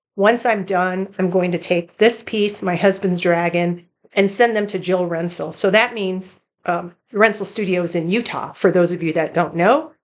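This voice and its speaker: At a moderate pace, a woman talks in a plain, everyday voice with a medium pitch and fairly even intonation. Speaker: cross-stitch vlogger. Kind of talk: casual show-and-tell vlog. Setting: home bedroom.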